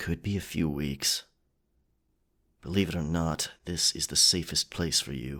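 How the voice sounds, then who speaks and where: A man's rumbling, very deep put-on character voice at a moderate pace, with long, frequent pauses, on a very clean recording against a silent background. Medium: audio drama. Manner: terse, grumbling.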